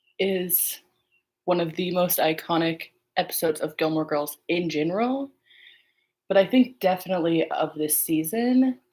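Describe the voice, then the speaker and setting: A woman speaks quietly with ordinary pitch variation. Her pauses are long and frequent. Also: fairly low pitch for a woman, moderate pace. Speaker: podcast host. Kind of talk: casual solo watch-along chat. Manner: casual, filler-heavy.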